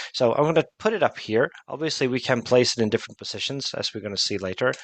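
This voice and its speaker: Speaking at a very fast pace, a man has lively intonation and a medium pitch. The sound is dry and close, with no echo. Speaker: product expert presenting a software demo. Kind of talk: webinar product demo.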